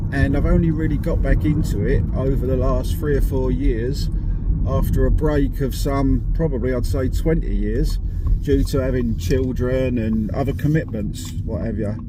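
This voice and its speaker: With audible room echo and noticeable background noise, a man speaks at a moderate pace in a very deep, low pitch that swings very widely. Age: 50s. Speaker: amateur angler vlogger. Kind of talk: casual vlog to camera. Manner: hesitant, many ums.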